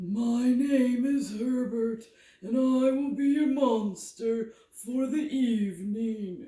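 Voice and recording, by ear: A female-sounding voice speaks breathily at a very slow pace and high pitch. It is a put-on character voice with slight echo.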